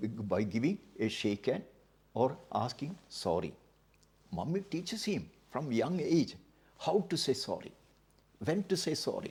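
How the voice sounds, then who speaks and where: Vocal fry marks this man's fairly high voice. He moves at a fairly slow pace with very wide pitch swings. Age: 80s+. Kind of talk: interview answer.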